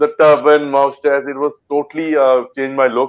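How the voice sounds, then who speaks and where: At a fairly quick pace, a man with a Punjabi accent speaks at a fairly high pitch. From India, Punjab. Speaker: actor. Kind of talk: interview. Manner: halting.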